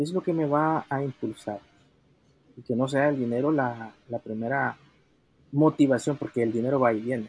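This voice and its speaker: Pausing long and often, a man with a Salvadoran accent speaks at a moderate pace with ordinary pitch variation. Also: medium pitch for a man. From El Salvador. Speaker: solo entrepreneur. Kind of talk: interview.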